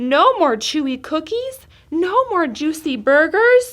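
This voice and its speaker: A woman puts on a growling character voice at an extremely high pitch, with very wide pitch swings. She speaks at a fairly slow pace. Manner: snarling and grumbling.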